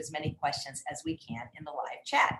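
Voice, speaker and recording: A woman speaks over noticeable background noise. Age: 60s. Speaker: online show host. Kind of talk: live stream interview.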